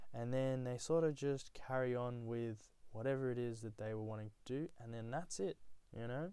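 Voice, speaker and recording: A man with an Australian accent, medium pitch, a dark, mellow tone, moderate pace and ordinary pitch variation. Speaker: podcaster. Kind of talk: solo monologue. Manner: halting, many fillers; casual.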